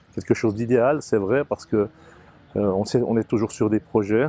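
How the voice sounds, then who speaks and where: A man speaks in a dark, mellow tone at a moderate pace with fairly even intonation. The sound is dry and close, with no echo. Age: 60s. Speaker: sports event organizer. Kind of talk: interview.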